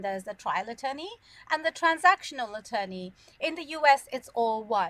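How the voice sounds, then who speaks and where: A woman speaks with a British accent at a high pitch. Her pitch swings are very wide. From London, England. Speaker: immigration lawyer. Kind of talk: interview.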